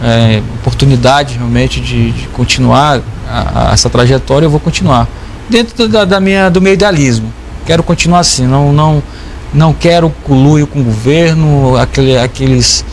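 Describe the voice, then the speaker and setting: The speech moves at a moderate pace with very even loudness, over noticeable background noise. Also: man. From Brazil, Porto Velho, Rondônia. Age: 30s. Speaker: state legislator. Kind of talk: TV interview. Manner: halting.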